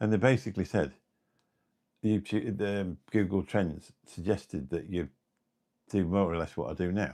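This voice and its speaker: Very deep and low, a man's voice with vocal fry and a dark, mellow tone moves at a moderate pace with ordinary pitch variation and long, frequent pauses. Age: 50s. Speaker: YouTuber. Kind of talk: live stream chat. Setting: live stream. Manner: casual, halting.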